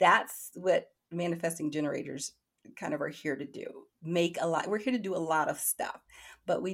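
Here is a woman with a plain, everyday voice and a fairly low pitch. She talks at a moderate pace with ordinary pitch variation. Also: very clean recording, silent background. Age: 50s. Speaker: tarot reader and oracle deck creator. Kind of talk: casual interview.

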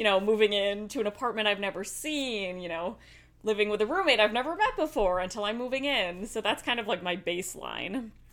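An ordinary speaking voice is heard here. Its pace is fairly quick, and its pitch varies in an ordinary way. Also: woman, fairly high pitch for a woman. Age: 20s. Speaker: theater costume and wardrobe worker. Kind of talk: casual chat. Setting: in person, same room.

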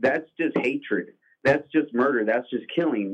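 Here a man has a normal speaking voice. He talks at a fairly quick pace with ordinary pitch variation. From Mexican-American. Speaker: caller. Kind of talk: casual chat. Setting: phone call.

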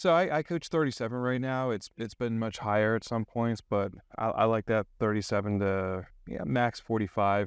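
This man has a plain, everyday voice at medium pitch, with ordinary pitch variation, a moderate pace and a dry, close sound with no echo. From Maryland, DC area. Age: 40s. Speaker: real estate coach. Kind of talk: interview.

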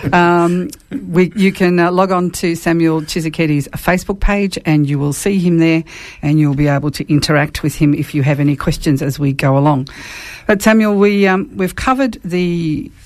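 There is an unremarkable speaking voice here, a woman's, pitched fairly low. She moves at a moderate pace with ordinary pitch variation. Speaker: radio host. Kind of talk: radio Q&A conversation. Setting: studio.

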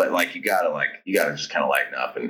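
A man speaks at a moderate pace. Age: 50s. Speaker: rock musician. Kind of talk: interview.

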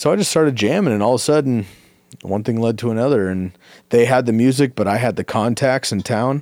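In a very clean recording with a silent background, a man with an American accent speaks very fast at a medium pitch with ordinary pitch variation. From US West Coast, San Francisco Bay Area. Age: 30s. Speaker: musician. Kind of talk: casual chat.

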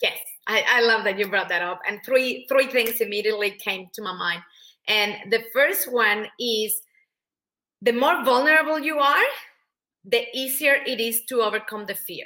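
Talking at a moderate pace with a Spanish accent, a woman has a bright, sharp tone and a fairly high pitch with ordinary variation. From Mexico. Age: 40s. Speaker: public speaker and business coach. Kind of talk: interview. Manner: animated.

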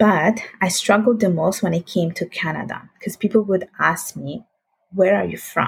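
A woman speaks in an Italian accent at a medium pitch. Her voice is somewhat breathy, with ordinary pitch variation. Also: moderate pace. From Italy (Sicily, then northern Italy). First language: Italian and Bengali. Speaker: finance professional. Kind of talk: casual interview.

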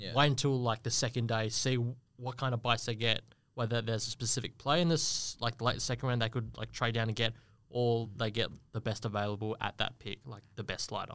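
Fairly even in intonation and fairly quick in pace, a man of medium pitch speaks with an Australian accent. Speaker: football draft analyst. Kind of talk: casual chat.

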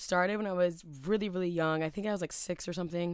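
This woman has an American accent and a plain, everyday voice at medium pitch with ordinary pitch variation. The recording is very clean, with a silent background. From US South, Atlanta. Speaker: podcast host. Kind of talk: solo podcast monologue.

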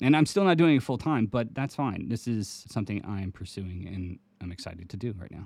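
A man with an unremarkable speaking voice, fairly low in pitch, talks at a fairly quick pace with hardly any pauses, lively intonation and big swings in loudness, in a very clean recording with a silent background. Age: 40s. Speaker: children's book author and podcast co-host. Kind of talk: casual chat.

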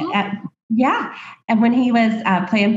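A woman's somewhat breathy voice with an American accent, at a fairly slow pace with ordinary pitch variation. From US South, small-town Alabama. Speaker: boutique owner, former sorority consultant. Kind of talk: casual interview chat.

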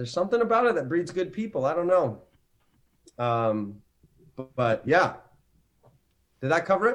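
A man's high voice with very wide pitch swings, at a moderate pace with long, frequent pauses. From Canada, Ontario. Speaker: actor. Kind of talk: casual chat.

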